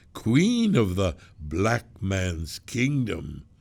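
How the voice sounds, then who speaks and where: A put-on character voice from a man, fairly low in pitch, with lively intonation. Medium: read story. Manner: preaching, grandiose.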